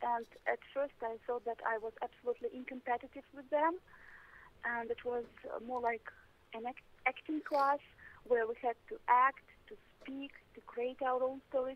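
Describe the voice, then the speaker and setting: A woman with a Russian accent, high-pitched and fairly even in intonation, with big swings in loudness and long, frequent pauses. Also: moderate pace. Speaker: English teacher. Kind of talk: interview. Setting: phone call. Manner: halting.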